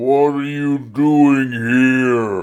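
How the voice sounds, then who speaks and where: A man speaks in a put-on character voice. It sounds gruff, at a medium pitch. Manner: angry, shouting.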